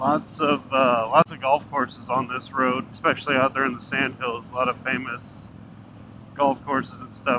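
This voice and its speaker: There is noticeable background noise as a man talks at a moderate pace. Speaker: motorcycle vlogger. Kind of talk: casual vlog chat. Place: motorbike. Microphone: helmet.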